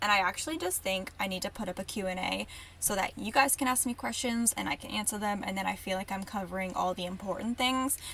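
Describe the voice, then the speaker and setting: A woman at a medium pitch speaks at a very fast pace over noticeable background noise. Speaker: podcast host. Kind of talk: casual monologue.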